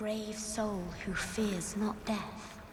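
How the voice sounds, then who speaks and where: A woman puts on a character voice at medium pitch over clear background noise. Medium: machinima. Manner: formal, archaic, calm.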